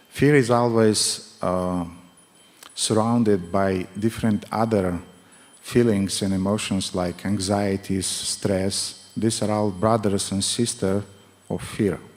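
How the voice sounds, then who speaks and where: With music in the background, a man with a strong non-native accent speaks at a very slow pace and with fairly even intonation. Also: fairly low pitch for a man. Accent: thick non-native accent in English. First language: not English. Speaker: spiritual teacher. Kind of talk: lecture. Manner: halting.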